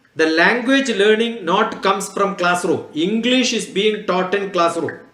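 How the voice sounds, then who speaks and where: Audible room echo surrounds a man who speaks at a high pitch with a Keralan accent. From Kerala, India. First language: Malayalam. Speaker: scientist. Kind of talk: talk to students.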